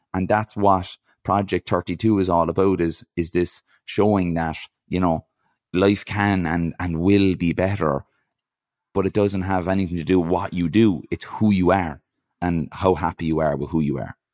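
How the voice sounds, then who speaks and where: A man with an Irish accent and a very deep, low pitch speaks at a moderate pace with fairly even intonation, in a very clean recording with a silent background and dry, close sound with no echo. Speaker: ultra-endurance athlete and speaker. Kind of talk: casual interview.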